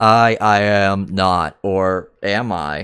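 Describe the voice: A man's put-on character voice, fairly low in pitch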